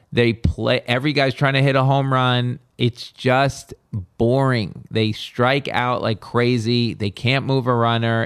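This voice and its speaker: Speaking at a medium pitch, a man talks in an animated tone. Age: 50s. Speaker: podcast host. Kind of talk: casual chat.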